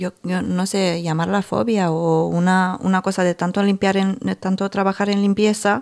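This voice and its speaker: This woman has a Romanian accent and a medium pitch, and her intonation is monotone and flat. Her loudness is very even, she hardly pauses, and the recording is very clean with a silent background. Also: moderate pace. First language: Romanian (speaking Spanish). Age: 30s. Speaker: podcast host. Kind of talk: casual chat.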